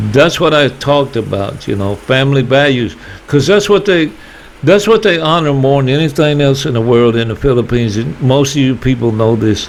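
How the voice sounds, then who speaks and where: A man with a fairly high voice and an American accent talks at a fairly quick pace with lively intonation over noticeable background noise. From US South. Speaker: YouTuber. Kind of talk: casual vlog monologue.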